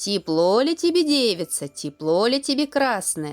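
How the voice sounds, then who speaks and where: In a put-on character voice that sounds female, someone speaks at a moderate pace with a fairly high pitch and very wide pitch swings while faint music plays behind. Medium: read story.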